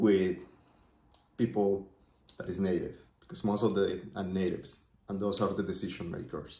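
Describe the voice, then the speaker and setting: The voice has a Spanish accent and a dark, mellow tone. It moves at a moderate pace with fairly even intonation. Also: man. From Colombia. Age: 20s. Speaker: entrepreneur vlogger. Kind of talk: casual vlog monologue. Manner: thinking out loud, conversational.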